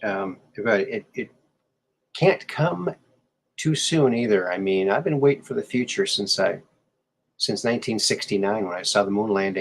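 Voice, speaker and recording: At a moderate pace, a man speaks with lively intonation and a medium pitch. He leaves long, frequent pauses. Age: 60s. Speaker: podcast host. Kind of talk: interview.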